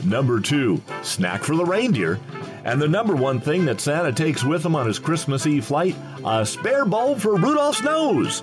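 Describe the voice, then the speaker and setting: Over music in the background, a man with a fairly high pitch talks at a moderate pace in an upbeat tone, his pitch swinging very widely while his loudness stays very even. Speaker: voice actor. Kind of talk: holiday light show voiceover, comedic countdown.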